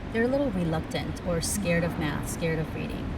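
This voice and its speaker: Lively intonation over noticeable background noise and audible room echo. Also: woman. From immigrated to the US at age ten. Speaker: podcast host; teacher. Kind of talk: casual interview. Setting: in-person recording at a summit venue.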